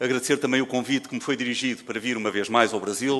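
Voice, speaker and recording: A man's very fast speech with fairly even intonation. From Portugal. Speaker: forensic medicine professor. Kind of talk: conference lecture. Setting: seminar stage with audience. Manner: formal.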